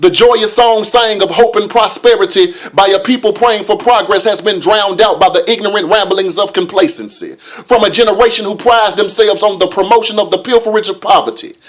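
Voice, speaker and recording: A man's high-pitched voice at a fairly quick pace over background music. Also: ordinary pitch variation. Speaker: spoken word poet. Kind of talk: spoken word poetry performance.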